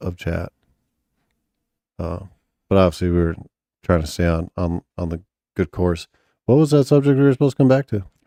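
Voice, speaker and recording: The voice has a dark, mellow tone and very wide pitch swings, moving at a fairly quick pace with long, frequent pauses. The recording is very clean with a silent background, and the sound is dry and close with no echo. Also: man, very deep, low pitch for a man. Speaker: podcast host, father. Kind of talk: casual chat. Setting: home studio, live stream. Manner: casual, profane.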